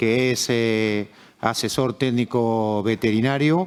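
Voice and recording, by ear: A man's medium-pitched voice with a clear, smooth tone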